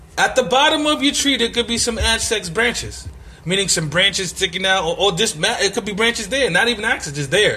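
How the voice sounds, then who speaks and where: Raised, projected voice with an animated tone, lively intonation and a fairly quick pace over noticeable background noise. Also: man. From Brooklyn, New York City. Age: 30s. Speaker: podcaster. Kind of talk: casual monologue.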